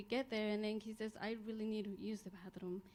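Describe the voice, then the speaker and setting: A woman speaks very fast at a fairly high pitch. There is noticeable background noise. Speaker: parent, public commenter. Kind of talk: public comment at board meeting. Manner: halting.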